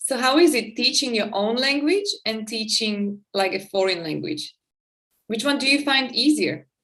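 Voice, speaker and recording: In a Slovak accent, a woman speaks at a moderate pace with a bright, sharp tone, a fairly high pitch and lively intonation. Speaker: podcast host and teacher. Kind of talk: casual interview.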